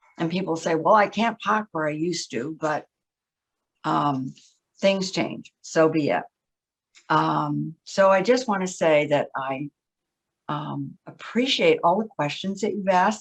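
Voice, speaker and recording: A woman with a fairly low pitch and vocal fry speaks at a fairly slow pace, using ordinary pitch variation and long, frequent pauses. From Plymouth, Massachusetts. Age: 80s+. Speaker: committee member speaking at town meeting. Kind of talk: public comment at town meeting. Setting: town board meeting.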